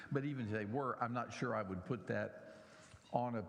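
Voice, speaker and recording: A man with an American accent talks in a fairly low pitch. His ordinary pitch variation comes through with audible room echo. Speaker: pastor. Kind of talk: sermon.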